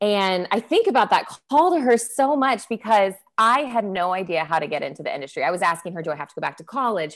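Lively intonation marks this woman's fairly quick speech in an American accent. The background is quiet. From Texas. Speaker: hospitality events professional. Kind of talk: casual interview. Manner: animated.

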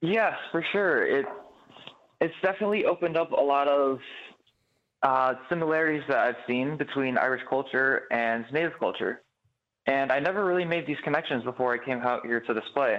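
With an American accent, a man talks at a fairly quick pace and fairly high pitch, ordinary pitch variation, and a plain, everyday voice. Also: very even loudness. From Chicago. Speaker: stage actor. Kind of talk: interview.

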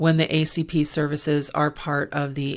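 A woman speaks with a very deep, low pitch and vocal fry. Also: very clean recording, silent background. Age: 50s. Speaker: medical coding and billing consultant, podcast host. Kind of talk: educational monologue.

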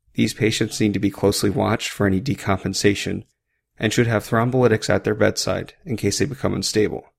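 Recorded very cleanly against a silent background, a man with a fairly low pitch and vocal fry talks at a very fast pace with ordinary pitch variation. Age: 30s. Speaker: emergency physician, military doctor, podcast host. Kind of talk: medical lecture podcast. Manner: clear, instructional.

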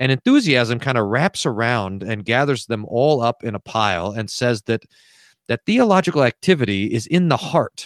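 In a plain, everyday voice with an American accent, a man speaks at a moderate pace and medium pitch with lively intonation, the sound dry and close with no echo. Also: very clean recording, silent background. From Texas and New Mexico. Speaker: pastor and author. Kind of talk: interview.

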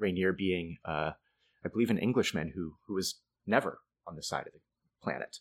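A man with an American accent speaks in an unremarkable speaking voice at a fairly low pitch, with ordinary pitch variation. The sound is dry and close, with no echo. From Boston area, Massachusetts, US. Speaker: storyteller and affordable housing planner. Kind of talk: casual interview conversation.

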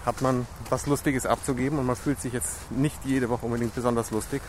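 Noticeable background noise sits behind a man talking fairly quickly at a medium pitch with fairly even intonation. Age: 40s. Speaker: podcast host. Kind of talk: casual interview chat. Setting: outdoors walking in park in rain.

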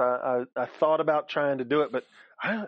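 Fast and fairly high-pitched, a man speaks with a slightly husky edge in a dry, close sound with no echo.

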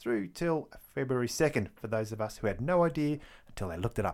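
A man with an Australian accent at medium pitch, very wide pitch swings and a fairly quick pace, in a very clean recording with a silent background. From Victoria, Australia. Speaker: history podcaster. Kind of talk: scripted-style solo narration about history.

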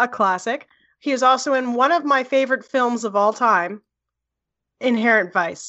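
A woman with an American accent speaks at a moderate pace with long, frequent pauses. Her pitch is high, with ordinary variation. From US Northeast, New Jersey (Edison). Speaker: podcast co-host and film editor. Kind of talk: casual chat.

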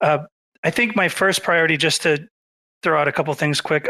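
On a very clean recording with a silent background, a man speaks with a bright, sharp tone at a fairly high pitch. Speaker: nominee for dev department. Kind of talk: community call candidate pitch. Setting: Twitter space audio call.

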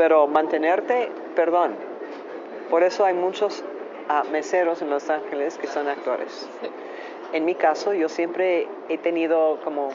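A woman with an American accent and a very deep, low pitch talks at a fairly slow pace over noticeable background noise. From United States. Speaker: actress and model. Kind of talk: interview. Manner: halting, non-native phrasing.

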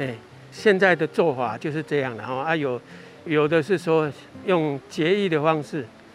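Music plays in the background as a man speaks at a fairly high pitch with ordinary pitch variation. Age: 70s. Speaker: eco-tour guide. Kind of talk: guided nature walk explanation. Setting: outdoors.

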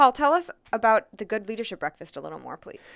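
Her pitch is fairly high and her pace very fast. The recording is very clean with a silent background, and the sound is dry and close with no echo. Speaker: podcast co-host, coach. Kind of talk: casual discussion.

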